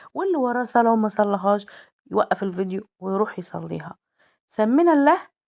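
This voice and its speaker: A woman speaks fairly quickly in an Egyptian accent, her pitch medium. Her tone is animated and her intonation lively. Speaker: cooking vlogger. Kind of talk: cooking tutorial.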